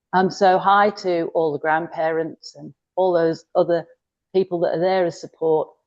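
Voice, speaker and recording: A woman's fairly low voice with a Yorkshire accent, at a moderate pace, with monotone, flat intonation and big swings in loudness. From northern England, Yorkshire. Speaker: cooking appliance consultant. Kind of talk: online workshop demo. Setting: video call.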